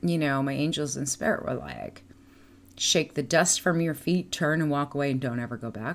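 A woman's voice, very cleanly captured over a silent background. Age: 50s. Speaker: podcast host and clairvoyant. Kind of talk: casual chat. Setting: live stream.

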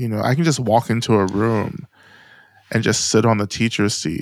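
With an American accent, an unremarkable speaking voice keeps a moderate pace and ordinary pitch variation. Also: man. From US South. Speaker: Buddhist teacher and author. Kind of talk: interview conversation.

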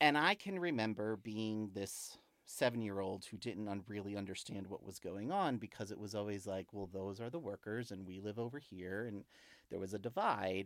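A man with an unremarkable speaking voice talks at a fairly low pitch. His pace is moderate and his pitch variation ordinary. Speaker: corporate DEI and belonging leader. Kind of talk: live-streamed interview conversation. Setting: live online video stream.

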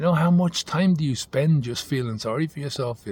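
Speaking at a fairly quick pace, the voice sounds somewhat breathy. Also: man. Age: 50s. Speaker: sobriety coach. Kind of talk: monologue to camera. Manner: halting.

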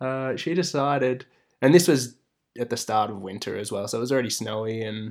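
Against a very clean recording with a silent background, a man with an Australian accent speaks at a fairly quick pace, medium in pitch, with fairly even intonation. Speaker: host's romantic partner. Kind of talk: casual chat. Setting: in-person recording, sitting side by side.

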